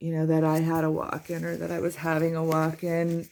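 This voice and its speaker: Here is a woman with a very deep, low pitch. She speaks at a fairly slow pace. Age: 60s. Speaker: spiritual vlogger, energy healer. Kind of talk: casual personal vlog monologue. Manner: hesitant, many fillers.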